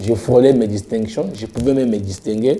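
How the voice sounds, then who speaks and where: Noticeable background noise runs under the recording. A man speaks with lively intonation. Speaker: pastor. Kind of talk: interview.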